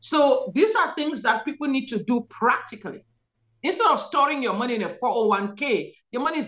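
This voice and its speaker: A woman with an African accent, high in pitch, at a moderate pace. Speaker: physician and guest. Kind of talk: interview, religious commentary. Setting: video call.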